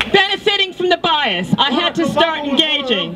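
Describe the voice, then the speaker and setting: Moderate-paced speech in an American accent amid noticeable background noise. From United States. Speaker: protester. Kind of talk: protest speech.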